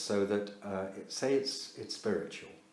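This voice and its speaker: A man talks at a fairly slow pace. Audible room echo and noticeable background noise fill the recording. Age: 70s. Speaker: yoga and meditation teacher. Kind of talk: lecture. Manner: halting.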